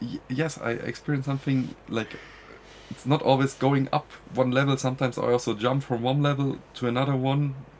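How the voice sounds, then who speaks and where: Speaking in a German accent, a man keeps a medium pitch and a monotone, flat intonation at a fairly quick pace. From Germany. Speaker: podcast guest. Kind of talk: interview. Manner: halting.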